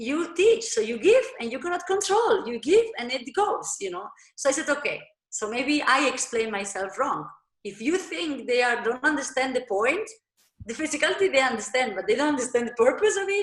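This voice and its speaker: This woman's high voice moves at a moderate pace and swings very widely in pitch. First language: not English. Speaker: dancer and dance teacher. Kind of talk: interview. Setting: video call. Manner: halting.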